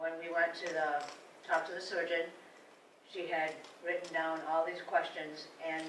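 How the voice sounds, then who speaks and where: With audible room echo and noticeable background noise, a woman with a fairly low pitch speaks at a fairly slow pace. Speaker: cancer patient. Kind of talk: testimony.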